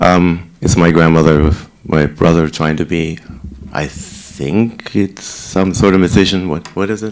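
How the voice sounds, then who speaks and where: Against noticeable background noise, a man speaks at a fairly slow pace in a very deep, low voice. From Germany, Heidelberg. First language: German. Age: 60s. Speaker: senior residence director. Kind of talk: talk to residents about himself.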